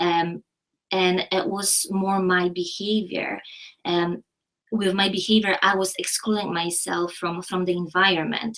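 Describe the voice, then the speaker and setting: The speech comes at a fairly slow pace with monotone, flat intonation. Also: woman, medium pitch for a woman. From Poland. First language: Polish. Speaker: university educator. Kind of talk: live online Q&A discussion.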